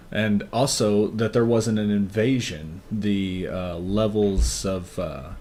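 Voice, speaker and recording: Soft-spoken, a man talks at a very slow pace with fairly low pitch and ordinary pitch variation. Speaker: podcast co-host. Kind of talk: casual chat. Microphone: levels drop, quiet on mic.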